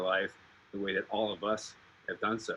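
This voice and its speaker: A man talks at a fairly quick pace in a fairly low voice. His tone is bright and sharp. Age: 30s. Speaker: roast speaker, son of the honoree. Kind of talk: tribute speech on a video call. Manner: halting, many fillers.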